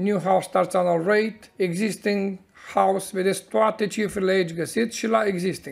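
The man's voice sits at a high pitch with fairly even intonation. The background is quiet. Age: 40s. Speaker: crypto market commentator. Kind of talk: market analysis monologue. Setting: office. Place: home room.

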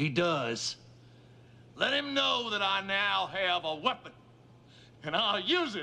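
A man puts on a character voice, high-pitched with big pitch swings and a bright, sharp tone. He speaks at a fairly slow pace with vocal fry.

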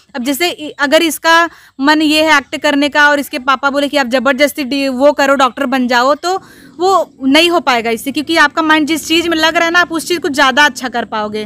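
A woman with a high pitch and bright, sharp tone uses a raised, projected voice at a moderate pace. Her pitch variation is ordinary, and the sound is dry with no echo. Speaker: interviewee, comedy performer. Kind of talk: interview answer. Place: open country. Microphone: handheld.

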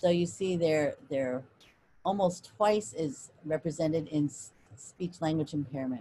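With light background noise, a woman speaks at a fairly slow pace in a very deep, low pitch, her tone dark and mellow, somewhat breathy, with ordinary pitch variation. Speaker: professor. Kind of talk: lecture. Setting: video call. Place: home room. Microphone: video call.

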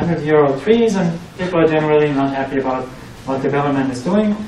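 Speaking with a German accent at a fairly quick pace, a man uses a fairly high pitch and ordinary pitch variation, with audible room echo and noticeable background noise. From Germany. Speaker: researcher and PhD student; presenter. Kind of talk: tech talk presentation. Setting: meetup with live audience. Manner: hesitant, many fillers. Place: meeting room.

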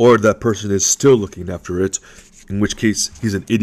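With fairly even intonation, the clip offers plain reading aloud.

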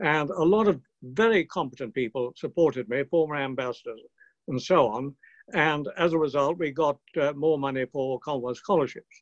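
Speaking at a moderate pace with a British accent, the voice shows ordinary pitch variation. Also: man, fairly high pitch for a man, quiet background. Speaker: retired peer. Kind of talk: speech. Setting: video call. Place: home room. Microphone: webcam.

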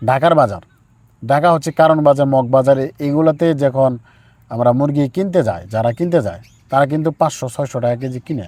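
Ordinary pitch variation in an ordinary speaking voice. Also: man, fairly high pitch for a man. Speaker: poultry farmer and chick seller. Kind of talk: on-farm interview and farming advice.

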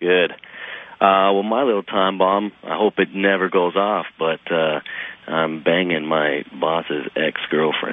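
A man speaks at a fairly slow pace with fairly even intonation. His pitch sits low.

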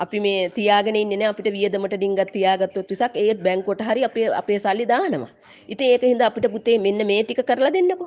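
A woman speaks in a plain, everyday voice, fairly high in pitch, at a fairly slow pace, with ordinary pitch variation and very even loudness. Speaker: migrant worker. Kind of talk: voice message plea.

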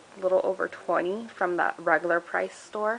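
A woman's monotone, flat intonation over light background noise. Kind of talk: casual haul vlog chat. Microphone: phone near.

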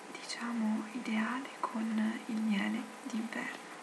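Through loud background noise, a woman with a fairly high pitch speaks at a very slow pace in monotone, flat intonation. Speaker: ASMR creator. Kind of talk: ASMR tea review talking to camera. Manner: whispered, soft-spoken. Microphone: webcam.

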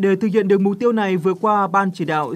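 A man's high-pitched voice at a very fast pace. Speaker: news reporter. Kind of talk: news reading.

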